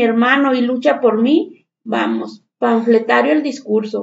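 A woman talks with a Mexican accent. Her pace is fairly slow. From Mexico. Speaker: teacher. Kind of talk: panel discussion.

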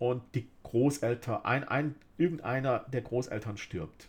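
A man's somewhat breathy, medium-pitched voice at a fairly slow pace, with ordinary pitch variation. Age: middle-aged. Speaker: podcast host. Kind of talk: solo monologue podcast.

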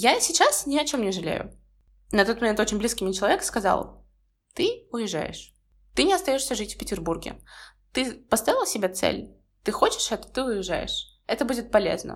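A woman's fairly high voice with very wide pitch swings, a moderate pace, long and frequent pauses, and a very clean recording with a silent background. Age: 20s. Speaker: podcaster, university student. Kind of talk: solo podcast monologue.

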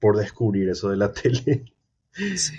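A man speaks with a fairly low pitch. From Paraguay, San Lorenzo area. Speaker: content creator. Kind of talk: casual chat.

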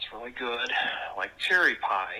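In a Wisconsin accent, the speaker has a bright, sharp tone and a fairly slow pace. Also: man. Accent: Wisconsin, American Midwest.

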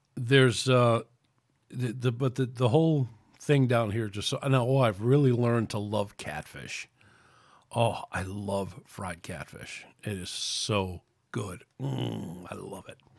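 In a New York accent, a man talks at a fairly slow pace and medium pitch. His pitch varies in an ordinary way, with big swings in loudness. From New York City. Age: 60s. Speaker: podcast host. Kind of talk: casual chat. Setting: at home.

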